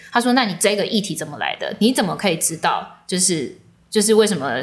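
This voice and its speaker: The speaker moves along at a fairly quick pace. The intonation is lively. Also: woman. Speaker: journalist and event emcee. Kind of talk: casual interview.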